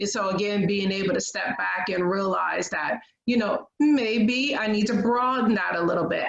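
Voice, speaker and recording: A woman at a moderate pace. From Michigan, US Midwest. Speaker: professor. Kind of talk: panel discussion.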